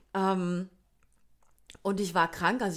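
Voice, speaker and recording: A woman with a Palatine accent speaks at a very slow pace. Her pitch sits in the medium range. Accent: Kurpfalz (Palatine) German. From Kurpfalz region, southwest Germany. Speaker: podcast co-host. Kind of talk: casual chat.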